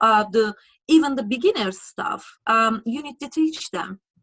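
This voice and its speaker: A woman with a strong Turkish accent, very wide pitch swings and a moderate pace. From Turkey. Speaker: lawyer. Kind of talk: interview. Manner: halting.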